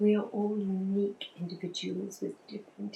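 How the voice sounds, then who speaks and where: A woman, soft-spoken, keeps to a moderate pace. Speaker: ASMR creator. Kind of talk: ASMR relationship talk. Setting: rain in background.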